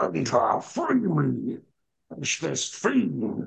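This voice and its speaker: Bellowing in a put-on character voice, a man speaks at a very slow pace. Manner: bellowing, commanding.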